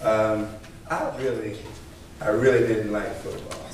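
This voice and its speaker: A man at a fairly slow pace with ordinary pitch variation, audible room echo and noticeable background noise. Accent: Southern US. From Virginia (Chesapeake). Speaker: state trooper, guest speaker. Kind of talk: motivational speech. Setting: church hall banquet. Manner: loud, projecting.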